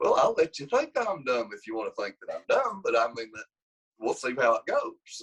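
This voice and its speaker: Speaking at a moderate pace with an Appalachian accent, a man's loudness swings widely in a dry, close sound with no echo. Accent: country Appalachian. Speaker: wrestling coach. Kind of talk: casual interview. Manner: animated.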